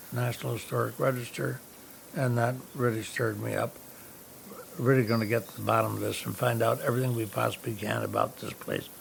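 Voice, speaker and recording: Over noticeable background noise, a man with an American accent talks at a very fast pace. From upstate New York, Saratoga area. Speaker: historic homeowner. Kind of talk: interview. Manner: halting, many fillers.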